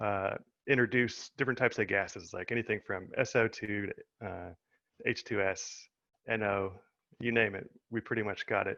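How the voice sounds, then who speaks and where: Bright, sharp tone in an American accent, with fairly even intonation, a moderate pace and long, frequent pauses, recorded dry and close with no echo against a quiet background. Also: man, fairly low pitch for a man. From US Midwest, Indiana. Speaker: chemistry researcher. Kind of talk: webinar talk.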